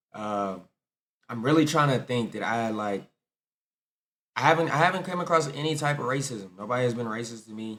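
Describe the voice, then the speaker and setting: A man talks in an ordinary speaking voice. His pitch sits in the middle range and varies a normal amount. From United States. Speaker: content creator. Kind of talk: casual reaction commentary to camera.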